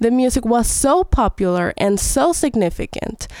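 This woman speaks at a fairly high pitch with a Spanish accent. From Venezuela. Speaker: ethnomusicologist. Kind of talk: educational explanation.

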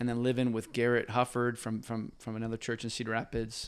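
A man talks at a moderate pace. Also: very clean recording, silent background. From Hawaii. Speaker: church planter. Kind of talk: casual chat. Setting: garage.

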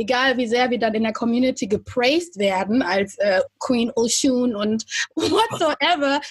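A woman speaks at a very slow pace in a high voice, her loudness very even throughout. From Germany. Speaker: podcast co-host. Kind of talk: casual interview.

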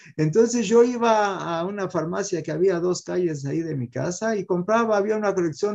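With lively intonation and a dark, mellow tone, a man speaks at a moderate pace in a high voice. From Mexico. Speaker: rabbi and physician telling his life story. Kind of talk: testimony.

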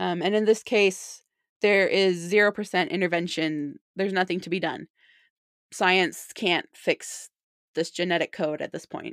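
A woman's medium-pitched voice with ordinary pitch variation at a fairly slow pace, in a very clean recording over a silent background. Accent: Utah. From Utah (St. George). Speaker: bereaved mother, non-profit volunteer. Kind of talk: interview testimony.

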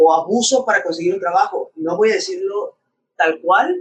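A man speaks in an extremely high pitch. His pace is fairly slow and his pitch swings are very wide. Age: 20s. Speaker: podcast co-host. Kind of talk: casual chat.

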